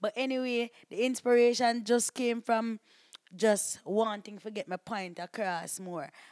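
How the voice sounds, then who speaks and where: On a very clean recording with a silent background, a woman with a Jamaican accent speaks with ordinary pitch variation, the sound dry and close with no echo. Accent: Jamaican patois. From Jamaica, Portland. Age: young. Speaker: video blogger. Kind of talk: interview. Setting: studio.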